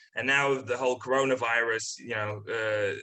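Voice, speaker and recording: At a moderate pace, a man talks in a monotone, flat intonation with a bright, sharp tone. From Poland. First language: Polish. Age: 20s. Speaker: comedian. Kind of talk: casual chat. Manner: halting, many fillers and repeats.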